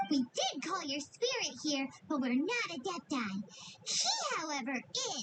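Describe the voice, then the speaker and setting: This is a put-on character voice with a high pitch and very wide pitch swings. It moves at a moderate pace. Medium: video game. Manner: casual, wry.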